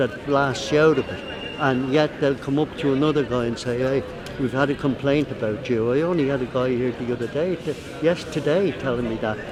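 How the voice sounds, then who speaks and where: With an Irish accent, a man speaks at a moderate pace in a fairly high pitch. His pitch variation is ordinary, and there is noticeable background noise. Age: 80s+. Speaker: street musician. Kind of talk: interview.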